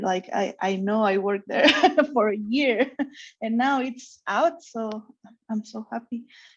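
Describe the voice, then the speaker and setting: Speaking with a Mexican accent, a woman uses a fairly high pitch, fairly even intonation and a fairly slow pace. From Mexico. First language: Spanish. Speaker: comic artist. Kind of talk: interview chat. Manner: halting.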